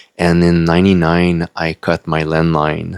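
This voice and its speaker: A man speaks with a French-Canadian accent. His pitch is very deep and low, and his intonation stays flat and monotone. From Quebec, Canada. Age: 40s. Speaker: YouTuber and self-published author. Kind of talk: casual unedited vlog monologue. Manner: halting, many fillers.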